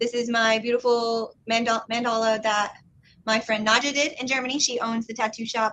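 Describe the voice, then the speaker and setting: A woman with a fairly high pitch and a bright, sharp tone speaks at a fairly quick pace with fairly even intonation. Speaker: tattoo enthusiast guest. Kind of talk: casual livestream chat. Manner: fast.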